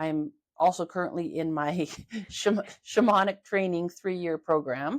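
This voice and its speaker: A woman's normal speaking voice with a Canadian accent, fairly low in pitch, with ordinary pitch variation. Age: 50s. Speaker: holistic health therapist. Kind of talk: casual interview. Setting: video podcast.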